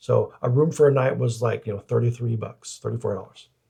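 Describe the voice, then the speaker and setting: Dark and mellow in tone, a man's somewhat breathy voice shows ordinary pitch variation. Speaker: podcast co-host. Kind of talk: casual chat. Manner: halting, repeats words.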